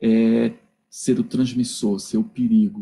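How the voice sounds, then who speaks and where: A man talks at a very slow pace with lively intonation. His voice is somewhat breathy. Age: 60s. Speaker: philosophy professor. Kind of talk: lecture. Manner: halting, with repetitions.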